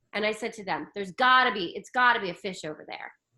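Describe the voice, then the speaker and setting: A woman at a fairly quick pace, animated and bright, sharp in tone, with lively intonation. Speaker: spiritual coach. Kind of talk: casual chat. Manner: loud.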